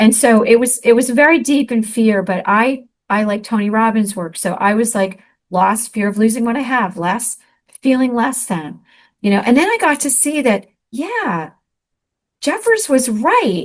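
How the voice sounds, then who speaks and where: A woman with an American accent and a fairly high pitch speaks at a moderate pace against a quiet background, in an unremarkable speaking voice. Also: ordinary pitch variation. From US Northeast, Elizabeth, New Jersey. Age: 60s. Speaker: author and speaker. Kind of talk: interview testimony.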